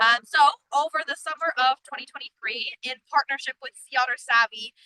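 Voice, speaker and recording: A woman with a high pitch and a bright, sharp tone speaks in a raised, projected voice at a fairly quick pace, with ordinary pitch variation and big swings in loudness, in a dry, close sound with no echo. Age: 20s. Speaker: student volunteer researcher. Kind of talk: live-stream field presentation. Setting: outdoors on the coast.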